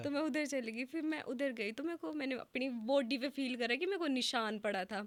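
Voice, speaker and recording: A woman speaks at a moderate pace with a high pitch and ordinary pitch variation. She leaves hardly any pauses. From Himachal Pradesh. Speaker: influencer and model. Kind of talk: podcast interview answer.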